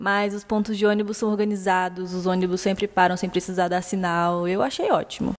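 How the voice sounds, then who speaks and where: A woman with an ordinary speaking voice, medium in pitch, fairly even in intonation and fairly quick in pace. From Brasília, Brazil. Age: 20s. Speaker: listener sharing exchange experience. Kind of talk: recorded personal testimony. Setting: recorded voice message.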